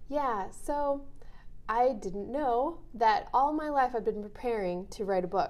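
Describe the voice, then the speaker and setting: A woman's high voice, fairly slow, with lively intonation and audible room echo. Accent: Minnesota. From rural Minnesota. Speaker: author and associate pastor. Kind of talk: interview.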